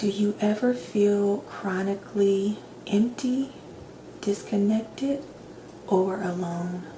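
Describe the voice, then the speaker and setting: A soft-spoken woman at a medium pitch talks at a very slow pace with fairly even intonation, leaving long, frequent pauses over noticeable background noise. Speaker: ASMR doctor roleplay performer. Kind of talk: ASMR roleplay, personality assessment questions.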